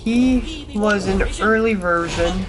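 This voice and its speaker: Noticeable background noise fills the clip, and audible room echo colors the sound. Through it, a woman talks. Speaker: gaming streamer. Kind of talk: gameplay livestream commentary. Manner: casual, rambling commentary.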